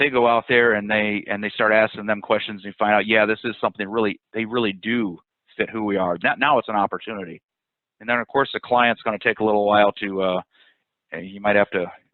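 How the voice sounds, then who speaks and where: A man at a very fast pace, fairly low in pitch, with fairly even intonation. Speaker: sales consultant. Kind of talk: webinar presentation. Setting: webinar.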